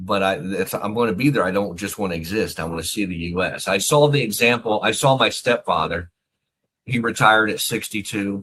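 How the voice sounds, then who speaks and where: A man with an American accent talks at a fairly quick pace in a fairly low pitch. His tone is bright and sharp, with ordinary pitch variation. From US, Philadelphia area and Texas. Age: 50s. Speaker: author, retired army officer. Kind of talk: interview. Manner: halting, repeats words.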